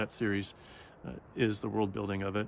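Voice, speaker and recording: A soft-spoken man talks at a fairly low pitch. He keeps a fairly quick pace with fairly even intonation. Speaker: book vlogger. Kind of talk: casual chat. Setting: outdoors in the woods. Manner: halting, many fillers.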